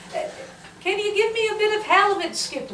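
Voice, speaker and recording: Using a put-on character voice, a woman squeaks out her lines at an extremely high pitch and a fairly quick pace, with slight echo and clear background noise. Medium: stage play. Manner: cackling, mocking.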